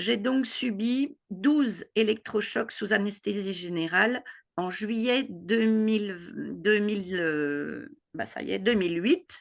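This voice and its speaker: Against a quiet background, the speaker talks at a very slow pace with lively intonation. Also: woman, medium pitch for a woman. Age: 60s. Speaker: retiree sharing a health testimony. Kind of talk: testimony.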